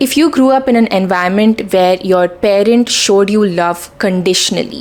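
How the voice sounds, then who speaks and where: Through noticeable background noise, a woman speaks with very even loudness. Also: medium pitch for a woman, ordinary pitch variation, moderate pace. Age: 20s. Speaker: self-help vlogger. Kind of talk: talking-head advice video.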